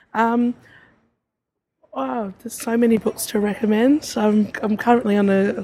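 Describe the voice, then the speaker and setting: In an Australian accent, a woman speaks at a moderate pace with a fairly high pitch, a dark, mellow tone, a somewhat breathy quality and fairly even intonation. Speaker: romance reader, reader association member. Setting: festival meeting area.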